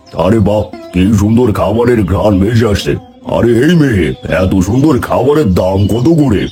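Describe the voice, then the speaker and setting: A man uses a cartoonish character voice at a medium pitch, with clear music in the background. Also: moderate pace. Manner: brusque, commanding.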